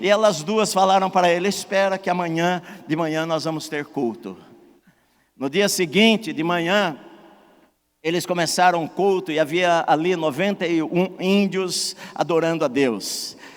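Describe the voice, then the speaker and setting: Fairly slow speech from a man, high in pitch, with ordinary pitch variation. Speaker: pastor. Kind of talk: sermon.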